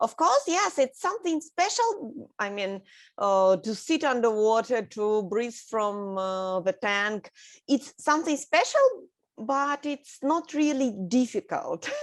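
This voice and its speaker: Against a quiet background, a woman with a Russian accent talks at a very slow pace in a high pitch, making very wide pitch swings. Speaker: underwater artist and scuba instructor. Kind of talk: interview. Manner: halting.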